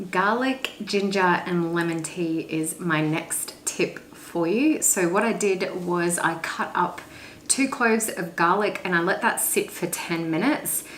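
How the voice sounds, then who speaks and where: A woman with a medium pitch speaks at a fairly slow pace against noticeable background noise. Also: ordinary pitch variation. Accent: Australian. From Australia. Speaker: lifestyle YouTuber. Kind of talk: casual talk to camera.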